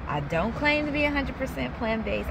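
A woman speaks in a dry sound with no echo. Noticeable background noise is present. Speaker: food vlogger. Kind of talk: casual vlog chat. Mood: upbeat, chatty. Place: car. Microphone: phone near.

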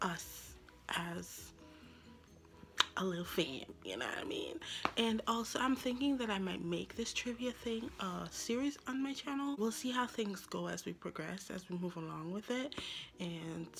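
The speech moves at a fairly slow pace while faint music plays in the background. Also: woman. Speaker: vlogger. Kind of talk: casual vlog chat. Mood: friendly, laughing. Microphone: phone near.

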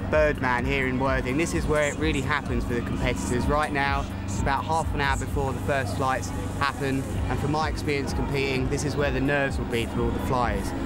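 Loud music plays in the background as a man talks at a fairly quick pace, the sound dry with no echo. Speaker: presenter. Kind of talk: on-location presenting. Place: waterside.

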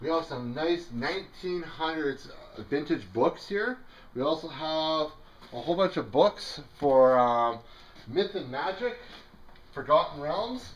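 A man speaks at a very slow pace with long, frequent pauses. His intonation is lively. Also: fairly high pitch for a man. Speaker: auctioneer. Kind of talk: casual product walkthrough commentary. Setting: in-person at the auction house, walking around the items. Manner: casual and jokey, with some filler words. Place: shop. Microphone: phone near.

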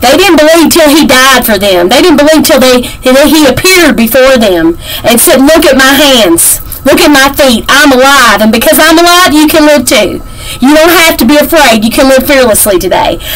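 A woman talks at a moderate pace. Her pitch is high. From Kentucky. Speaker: devotional teacher. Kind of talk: devotional Bible teaching. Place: home room. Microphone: webcam.

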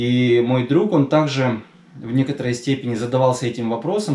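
A man talks at a moderate pace with ordinary pitch variation, and room echo is audible. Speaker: spiritual teacher vlogger. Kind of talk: storytelling talk to camera. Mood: calm, measured. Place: home room.

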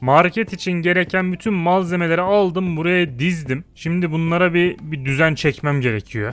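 This man has a high voice and an animated tone, with ordinary pitch variation. He talks at a moderate pace with hardly any pauses. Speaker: gaming YouTuber. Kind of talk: gameplay commentary. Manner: casual, animated.

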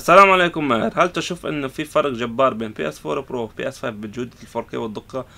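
Talking at a fairly quick pace with hardly any pauses, a man has a bright, sharp tone. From Lebanon. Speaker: YouTuber, console repair technician; repair channel host. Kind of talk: casual Q&A vlog. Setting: in his repair shop. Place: workshop.

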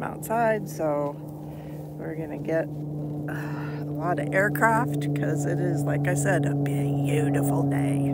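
A woman at a fairly slow pace, with loud background noise and a dry sound with no echo. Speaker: crochet vlogger. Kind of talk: casual vlog chat. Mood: cheerful, laughing. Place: open country. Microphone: phone near.

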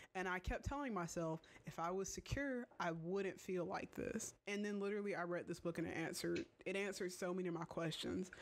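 A woman's normal speaking voice, medium in pitch, at a moderate pace with hardly any pauses and ordinary pitch variation. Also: very even loudness. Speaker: video creator.

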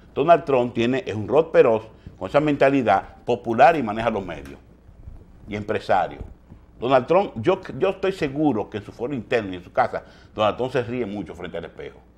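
Moving at a fairly quick pace, a man's voice shows very wide pitch swings and big swings in loudness. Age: 50s. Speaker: TV news host. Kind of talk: morning news commentary. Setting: TV studio. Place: studio.

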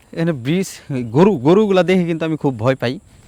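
Lively intonation marks this man's plain, everyday voice. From Bangladesh, Tangail (Madhupur area). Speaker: travel vlogger. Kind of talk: casual vlog narration. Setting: outdoors.

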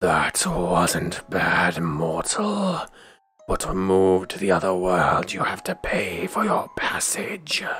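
A man performs a put-on character voice. His pitch is very deep and low, and he speaks at a very slow pace. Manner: stern, solemn.

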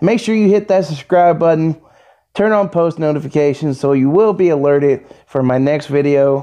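Over a quiet background, a man's dark, mellow voice moves at a moderate pace with ordinary pitch variation. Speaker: youtuber reacting to video. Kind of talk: casual vlog chat. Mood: amused, laughing. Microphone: phone near.

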